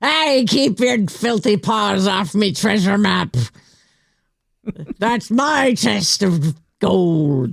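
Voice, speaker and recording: At a very slow pace, with long, frequent pauses, a put-on character voice speaks at a fairly high pitch. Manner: gruff, playful.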